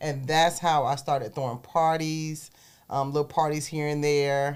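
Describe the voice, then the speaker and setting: A woman with a South Carolina Lowcountry accent speaks at a very deep, low pitch in a monotone, flat intonation. Her pace is moderate, and the recording is very clean with a silent background. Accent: Southern US, South Carolina Lowcountry. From US South, South Carolina Low Country. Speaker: entrepreneur. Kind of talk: interview.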